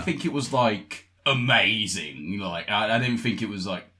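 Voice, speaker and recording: A man speaks at a fairly slow pace in a fairly low pitch, his intonation lively, with music playing in the background. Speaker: voice actor and producer. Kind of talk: casual podcast interview talk.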